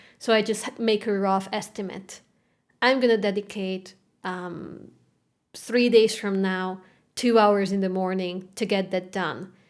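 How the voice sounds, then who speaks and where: A woman's medium-pitched voice with a Hungarian accent, fairly even intonation and a fairly slow pace. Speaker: classical guitarist and content creator. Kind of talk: podcast interview. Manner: halting.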